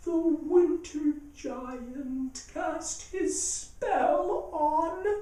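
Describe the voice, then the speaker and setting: Using a put-on character voice, a man speaks at an extremely high pitch. His pace is very slow, with hardly any pauses. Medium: read story. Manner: blunt, bird-like call.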